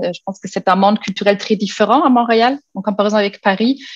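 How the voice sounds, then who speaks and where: A woman talks with fairly even intonation. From Germany. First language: German (speaking French). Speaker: university lecturer. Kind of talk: panel presentation. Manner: halting, many fillers.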